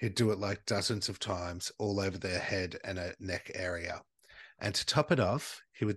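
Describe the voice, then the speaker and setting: A man talks in an animated tone with an Australian accent. The background is quiet. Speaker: podcast host. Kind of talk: true-crime storytelling over drinks, casual chat. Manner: animated, jokey, swears.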